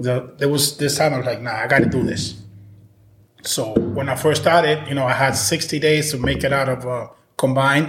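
Audible room echo surrounds the voice. A man talks at a fairly high pitch in a monotone, flat intonation. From Dominican Republic. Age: 40s. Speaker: solar sales rep. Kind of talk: casual interview.

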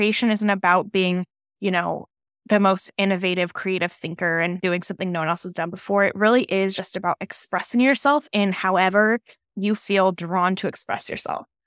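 A woman speaks at a moderate pace and medium pitch, with ordinary pitch variation. The recording is very clean and dry, close with no echo, against a silent background. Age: 20s. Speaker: podcast host and mindset coach for moms. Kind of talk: solo podcast monologue. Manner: casual, conversational.

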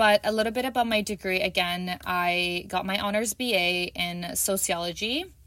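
A woman with a Canadian accent speaks in a bright, sharp tone. She uses fairly even intonation and hardly any pauses. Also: medium pitch for a woman, moderate pace. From Canada, Toronto. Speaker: podcast host and teacher. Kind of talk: solo podcast introduction.

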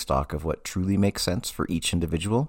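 Vocal fry runs through a man's voice in a very clean recording with a silent background. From Massachusetts. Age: 40s. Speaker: therapist podcast host. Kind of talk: casual monologue.

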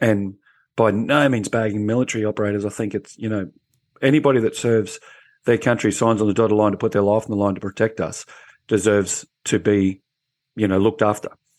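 A man with an Australian accent, fairly low in pitch, at a very fast pace against a quiet background. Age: 50s. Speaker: former police officer. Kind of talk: panel discussion. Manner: animated.

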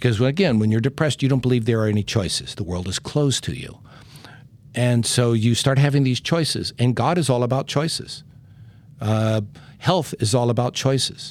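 Here is a normal speaking voice at a moderate pace. Its pitch varies in an ordinary way. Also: man, medium pitch for a man. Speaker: music therapist and podcast host. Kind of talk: casual interview chat.

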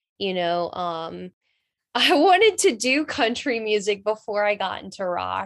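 A woman with a Southern US accent speaks over a quiet background. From North Carolina. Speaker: rock singer. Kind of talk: interview.

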